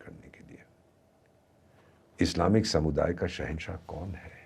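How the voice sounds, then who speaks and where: A man with a very deep, low pitch speaks with vocal fry and ordinary pitch variation. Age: 70s. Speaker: former ambassador, foreign affairs commentator. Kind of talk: podcast interview.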